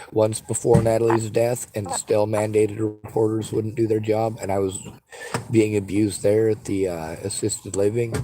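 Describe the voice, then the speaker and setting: A man's fairly low-pitched voice in monotone, flat intonation, against noticeable background noise. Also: moderate pace. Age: 40s. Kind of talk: phone call with crisis line. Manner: halting.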